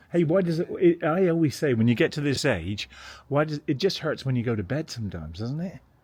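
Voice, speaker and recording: Fairly high-pitched and somewhat breathy, a man speaking very fast with lively intonation against a quiet background. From England, London. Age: 50s. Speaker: vlogger. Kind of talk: casual chat.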